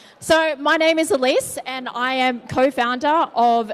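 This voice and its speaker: A woman speaks with an Australian accent. Her pitch is high with ordinary variation. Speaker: tech company co-founder, conference speaker. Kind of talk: conference presentation. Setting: stage with audience. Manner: casual.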